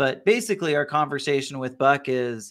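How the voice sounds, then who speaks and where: In a very clean recording with a silent background, a man with a plain, everyday voice talks at a moderate pace and medium pitch with ordinary pitch variation. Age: 30s. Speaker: financial podcast co-host. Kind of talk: casual podcast chat.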